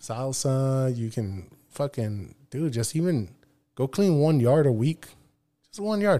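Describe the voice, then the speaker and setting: A man's dark, mellow voice at a fairly slow pace, full of lively intonation. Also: medium pitch for a man. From Nogales, Sonora, Mexico. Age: 30s. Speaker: streamer. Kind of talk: casual chat.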